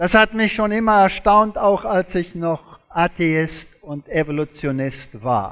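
Against a quiet background, a man with a non-native accent and a high pitch speaks at a very slow pace with lively intonation and hardly any pauses. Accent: foreign, non-native German. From South Africa. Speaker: creationist lecturer, former zoology professor. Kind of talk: lecture. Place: stage.

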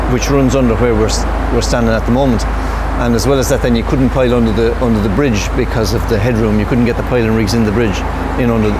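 Loud noise sits behind a man as he talks. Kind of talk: interview answer. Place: street. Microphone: lapel.

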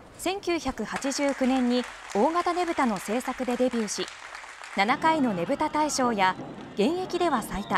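Against crowd noise in the background, a woman speaks at a high pitch and a fairly quick pace. Her voice moves in very wide pitch swings. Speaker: news announcer. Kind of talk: TV news narration.

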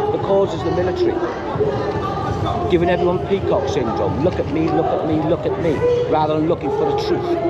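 Loud background noise behind a male speaker keeping a moderate pace. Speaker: bystander at protest. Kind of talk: street argument. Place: street. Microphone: phone near.

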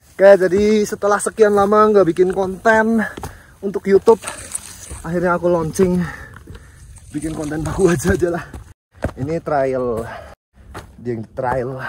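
The delivery is fairly slow, with lively intonation and long, frequent pauses. The sound is dry with no echo, over light background noise. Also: man, high pitch for a man. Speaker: trail runner vlogger. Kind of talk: casual vlog chat. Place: open country. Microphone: phone near.

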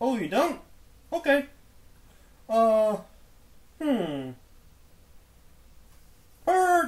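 A put-on character voice with a fairly high pitch and very wide pitch swings. The delivery is very slow, with long, frequent pauses.

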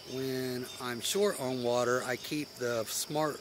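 A man speaks with ordinary pitch variation. The sound is dry with no echo, but there is noticeable background noise. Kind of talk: casual vlog chat. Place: forest. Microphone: phone near.

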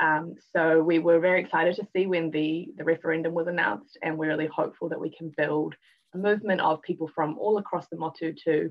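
Against a quiet background, a woman with a New Zealand accent talks at a very fast pace in a fairly low voice with fairly even intonation. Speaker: youth justice advocate; guest. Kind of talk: live panel discussion. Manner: hesitant with many fillers. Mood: warm, hopeful. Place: home room. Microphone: video call.

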